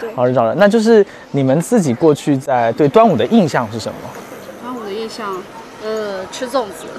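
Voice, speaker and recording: The speaker talks at a fairly quick pace. Noticeable background noise runs underneath. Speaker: travel video host. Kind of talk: casual interview; presenting to camera.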